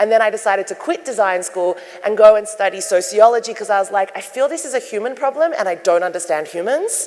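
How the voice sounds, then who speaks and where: Against noticeable background noise, a woman with an Australian accent talks at a very fast pace and fairly high pitch, with lively intonation. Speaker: sustainability designer and keynote speaker. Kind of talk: keynote talk. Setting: stage with audience. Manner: loud.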